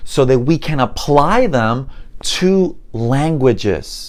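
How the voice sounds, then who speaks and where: Someone speaks at a very slow pace with a Spanish accent. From Puerto Rico. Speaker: mentalist and memory expert teaching languages. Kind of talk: online course introduction.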